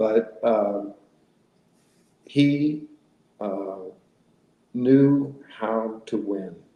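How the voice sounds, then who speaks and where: Speech in an American accent moves at a very slow pace, broken by long, frequent pauses. The pitch varies in an ordinary way. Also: man, medium pitch for a man. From Arizona. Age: 60s. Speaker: retired judge and former college quarterback. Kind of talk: interview.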